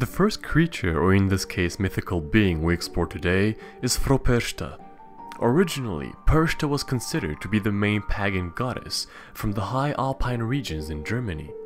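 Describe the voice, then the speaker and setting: A man with a fairly low voice speaks at a moderate pace, with very wide pitch swings. Music plays in the background. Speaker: mythology video narrator. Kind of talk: educational narration to camera.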